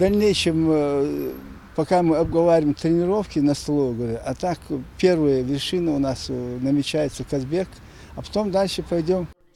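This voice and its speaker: An ordinary speaking voice, heard at a moderate pace with ordinary pitch variation. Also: man, fairly high pitch for a man. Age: 60s. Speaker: amateur mountaineer. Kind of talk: interview.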